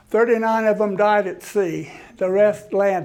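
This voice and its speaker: Audible room echo surrounds a high-pitched man talking at a moderate pace. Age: 80s+. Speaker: history lecturer at a senior center. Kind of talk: lecture. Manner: halting, with frequent restarts.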